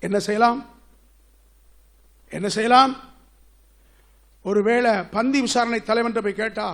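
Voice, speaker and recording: His voice sits high in pitch. The man keeps his intonation fairly even. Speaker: pastor delivering a sermon. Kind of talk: church sermon preaching.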